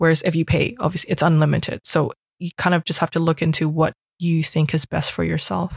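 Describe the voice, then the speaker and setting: A woman's fairly low voice carries vocal fry. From Hong Kong. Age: 20s. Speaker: founder of a media platform and business analyst. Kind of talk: casual chat.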